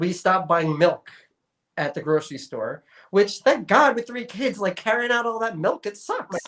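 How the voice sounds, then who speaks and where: With lively intonation and a moderate pace, a man with an American accent speaks at a high pitch. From New York. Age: 40s. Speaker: sustainability advocate. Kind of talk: interview. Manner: casual, conversational.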